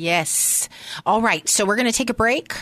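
This woman has a plain, everyday voice, moving at a moderate pace with lively intonation. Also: quiet background. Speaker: radio host and nonprofit founder. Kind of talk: radio interview. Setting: radio studio. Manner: warm, friendly, laughs often.

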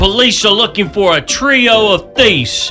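A man performs a put-on character voice at a high pitch and a moderate pace. Faint music plays in the background. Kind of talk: news report delivery.

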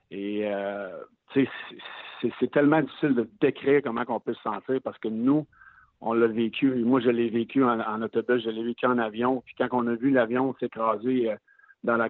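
With monotone, flat intonation, a man talks in a medium pitch. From Quebec City. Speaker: former NHL player, hockey analyst. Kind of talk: casual chat. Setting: phone call.

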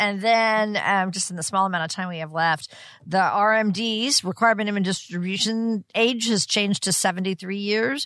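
The sound is dry and close, with no echo, as a woman speaks at a moderate pace in an unremarkable speaking voice. Her pitch is medium and varies in an ordinary way. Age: 60s. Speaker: radio co-host. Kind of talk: radio host patter, upbeat intros and interview questions. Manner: bright, friendly, engaged, laughs easily.

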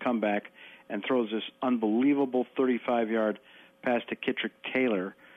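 A man talks at a moderate pace with a medium pitch. He has an unremarkable speaking voice. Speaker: sports analyst. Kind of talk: casual chat.

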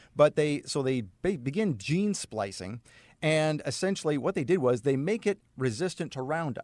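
The delivery, in an ordinary speaking voice, holds a moderate pace. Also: man, fairly high pitch for a man, lively intonation. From Canada, Saskatchewan. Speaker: naturopath. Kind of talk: radio interview. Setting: studio.

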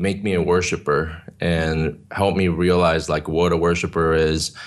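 Very deep and low, a man's voice moves at a fairly slow pace with monotone, flat intonation. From South Korea, moved to California at nine. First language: Korean. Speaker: worship leader. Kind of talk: interview testimony. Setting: video call.

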